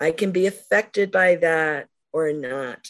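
Against a quiet background, a woman with an unremarkable speaking voice and fairly low pitch talks at a fairly slow pace, her pitch varying in an ordinary way. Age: 60s. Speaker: poet. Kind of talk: casual chat.

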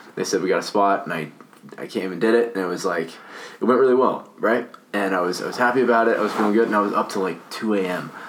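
Fairly quick, fairly low-pitched speech from a man, ordinary in pitch variation, amid noticeable background noise. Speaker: podcast host. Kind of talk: casual conversation. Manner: halting, filler-heavy.

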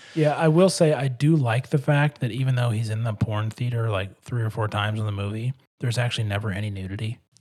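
A man at medium pitch speaks very fast in a somewhat breathy voice with hardly any pauses. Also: ordinary pitch variation. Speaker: podcast host. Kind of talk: casual chat.

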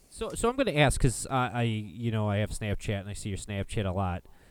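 A man with an American accent at a moderate pace, ordinary pitch variation, a plain, everyday voice, very clean recording with a silent background. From Illinois. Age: 40s. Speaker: podcast host. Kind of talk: casual chat.

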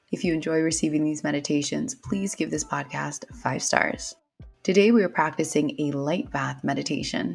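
With music in the background, a woman talks in a very deep, low voice with lively intonation. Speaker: meditation teacher. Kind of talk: guided meditation. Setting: podcast recording. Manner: soft, slow, soothing, calm, gentle pacing with long pauses.

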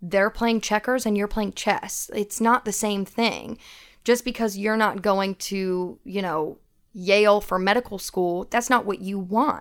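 In a very clean recording with a silent background, a woman with an American accent has an unremarkable speaking voice at a medium pitch, with fairly even intonation and a fairly slow pace. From US South, Knoxville, Tennessee. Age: 20s. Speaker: administrative assistant and social work student. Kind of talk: casual chat. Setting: studio.

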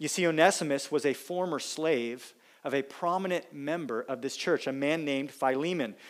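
A man speaks in a plain, everyday voice at a moderate pace, fairly high in pitch with ordinary variation. The recording is very clean with a silent background. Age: 30s. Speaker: pastor. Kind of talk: sermon. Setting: church.

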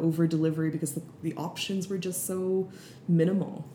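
A woman's somewhat breathy voice with a Canadian accent, dark and mellow in tone, in a flat monotone. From Canada, East Indian family. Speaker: restaurant owner. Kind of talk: casual chat. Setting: recorded in an apartment.

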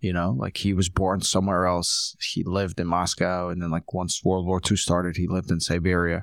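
On a very clean recording with a silent background, the speaker goes at a fairly quick pace in a monotone, flat intonation with hardly any pauses. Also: man, very deep, low pitch for a man. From Ukraine. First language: Russian. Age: 40s. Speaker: DJ. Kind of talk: casual interview. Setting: office recording. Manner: casual, laughs often.

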